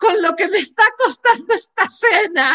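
Raising and projecting her voice, a woman sounds bright and sharp in a dry, close recording with no echo. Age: 40s. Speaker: podcast host, psychologist and coach. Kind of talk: casual interview chat.

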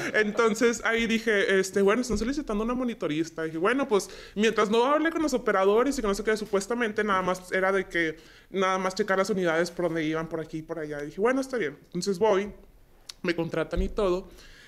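The speech races along at a very fast pace. The intonation is lively. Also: woman, medium pitch for a woman. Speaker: logistics dispatcher. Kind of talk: casual interview chat.

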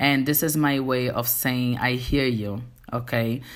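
A woman with a Portuguese accent speaks at a moderate pace in a very deep, low voice with monotone, flat intonation. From Angola. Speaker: TV host and actress. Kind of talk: casual monologue.

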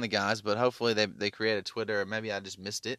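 A man speaks in a Tennessee accent with a bright, sharp tone. The sound is dry and close with no echo, on a very clean recording with a silent background. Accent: Southern US (Tennessee). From US South, Memphis, Tennessee. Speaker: podcast host. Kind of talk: casual monologue rant. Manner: halting, many fillers.

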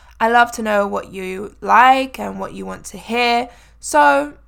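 A woman talks with lively intonation and vocal fry at a fairly high pitch. The recording is very clean with a silent background. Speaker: English tutor and podcast host. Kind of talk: solo podcast monologue for English learners. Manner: natural regular speed.

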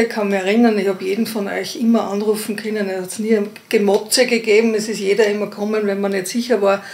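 A woman's voice over noticeable background noise. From Upper Austria, Innkreis. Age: 50s. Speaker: midwife. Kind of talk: casual interview.

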